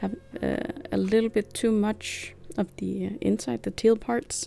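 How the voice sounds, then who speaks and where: A woman's voice comes at a moderate pace. Behind her, music can be heard. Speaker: craft youtuber. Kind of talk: tutorial. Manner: hesitant, many fillers.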